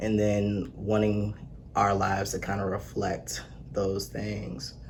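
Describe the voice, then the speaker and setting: Somewhat breathy and at a very slow pace, the voice shows ordinary pitch variation amid audible room echo. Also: man, fairly low pitch for a man. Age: 20s. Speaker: accountant and personal trainer. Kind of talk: casual chat.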